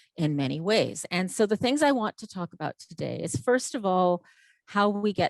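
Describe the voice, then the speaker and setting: A woman speaks at a moderate pace with lively intonation in a plain, everyday voice. The recording is very clean with a silent background and a dry, close sound with no echo. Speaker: game development lecturer. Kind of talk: conference talk.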